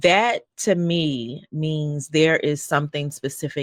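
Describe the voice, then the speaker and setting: Recorded dry and close with no echo, a woman with a Southern US accent speaks at a very deep, low pitch. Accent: Southern country. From North Carolina. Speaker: podcast host. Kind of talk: interview. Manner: animated.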